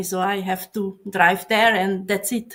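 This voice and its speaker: A woman with a Hungarian accent speaks very slowly at a medium pitch in a monotone, flat delivery, on a very clean recording with a silent background. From Hungary. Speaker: software professional. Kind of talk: casual chat. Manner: halting.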